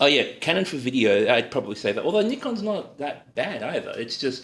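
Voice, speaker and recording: With an Australian accent, a man talks at a moderate pace. His pitch swings very widely. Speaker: cooking livestreamer and freelance photographer. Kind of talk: live-stream cooking demo with viewer Q&A. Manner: casual, hesitant with many fillers.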